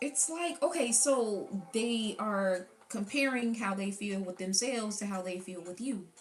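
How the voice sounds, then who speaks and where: A woman talks at a medium pitch. Music can be heard behind her. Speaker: tarot reader. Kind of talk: tarot reading. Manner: animated; sounds sarcastic.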